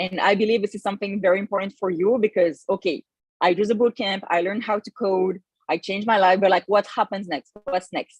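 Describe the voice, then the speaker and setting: A woman at a fairly quick pace, fairly even intonation, dry and close sound with no echo. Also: medium pitch for a woman. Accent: French. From France. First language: French. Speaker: bootcamp manager. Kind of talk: online info session presentation. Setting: livestream on Zoom and YouTube. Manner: hesitant, many fillers.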